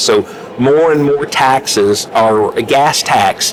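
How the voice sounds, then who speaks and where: A man talks in a southern Illinois accent, with noticeable background noise. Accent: southern rural Illinois. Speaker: politician. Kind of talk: interview. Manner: hesitant fillers.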